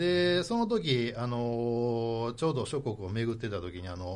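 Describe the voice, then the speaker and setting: A man's medium-pitched voice, very slow pace and lively intonation. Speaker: Shinto priest. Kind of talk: radio interview, storytelling. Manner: fluent.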